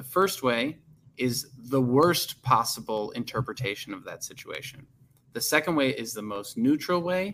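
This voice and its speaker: A normal speaking voice from a man in an American accent, medium in pitch, at a moderate pace, with lively intonation and big swings in loudness. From US Midwest, Chicago suburbs. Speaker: career coach and podcast host. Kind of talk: casual interview chat.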